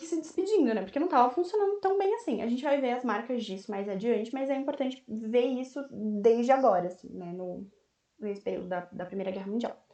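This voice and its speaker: A woman with a high voice speaks at a fairly quick pace. Her pitch swings very widely and her loudness rises and falls a great deal. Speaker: volunteer history teacher. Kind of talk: online lecture. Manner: fast; casual, slangy.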